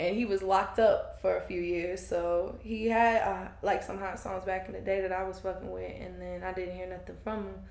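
A woman speaks with noticeable background noise and an audible echo from the room. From US South, Fayetteville, North Carolina. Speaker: aspiring podcaster. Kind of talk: casual chat.

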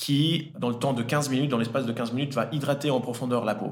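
Audible room echo hangs around the words of this man. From Italy, then French-speaking Switzerland from age 10. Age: 30s. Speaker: entrepreneur, cosmetics brand founder. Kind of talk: podcast interview. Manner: hesitant, with frequent fillers and repetitions.

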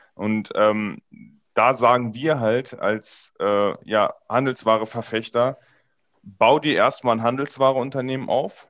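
This man speaks at a very slow pace. His intonation stays fairly even. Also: medium pitch for a man. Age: 20s. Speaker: e-commerce business coach. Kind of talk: casual chat.

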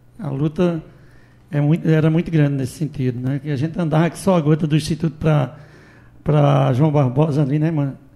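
A man's somewhat breathy, fairly high-pitched voice with a dark, mellow tone and fairly even intonation. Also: moderate pace. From Afogados da Ingazeira, Pernambuco sertão. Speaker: civil servant. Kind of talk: radio interview.

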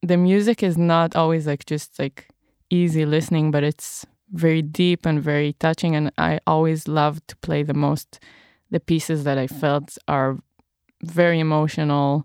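A woman with an Israeli accent speaks in a very deep, low voice with monotone, flat intonation. The recording is very clean with a silent background and a dry, close sound with no echo. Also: moderate pace. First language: Hebrew. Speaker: recorder player and singer-songwriter. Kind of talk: interview.

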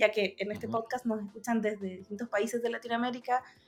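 A woman talks in a normal speaking voice. Her pitch is fairly high and her intonation fairly even. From Chile, Coquimbo. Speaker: podcast host, agile coach. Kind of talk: interview podcast.

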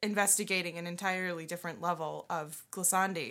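Here a woman speaks at a medium pitch. Her tone is bright and sharp. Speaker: bassoonist and podcast co-host. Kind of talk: casual chat about music. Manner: giggly.

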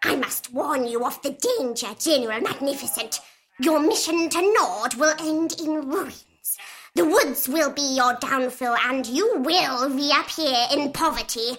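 A put-on character voice, female-sounding and high-pitched, at a fairly slow pace. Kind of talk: mystical fortune-teller. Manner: solemn, ominous prophecy.

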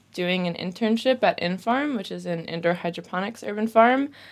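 A woman with an American accent speaks at a medium pitch in an ordinary speaking voice, with ordinary pitch variation. The recording is very clean, with a silent background. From US. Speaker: fermentation workshop teacher. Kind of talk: casual interview. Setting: studio.

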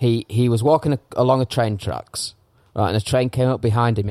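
Here a man talks with an English accent. His pitch is medium. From England. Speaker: podcast host. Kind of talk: casual banter podcast. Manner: sweary, chatty.

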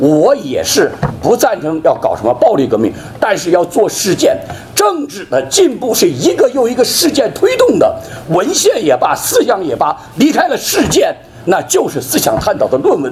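A man keeps a moderate pace while noticeable background noise is heard. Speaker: dissident speaker. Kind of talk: speech at a memorial event.

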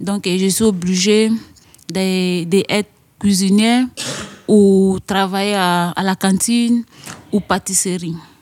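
A woman talks very slowly in a monotone, flat delivery. Her speech has long, frequent pauses. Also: medium pitch for a woman. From Côte d'Ivoire. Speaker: young migrant. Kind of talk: testimony. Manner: halting.

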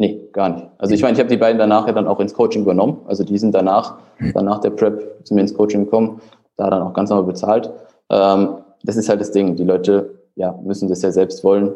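The delivery is very fast and monotone, with flat intonation. The tone is dark and mellow. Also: man, fairly low pitch for a man. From Germany. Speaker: fitness prep coach. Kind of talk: casual chat.

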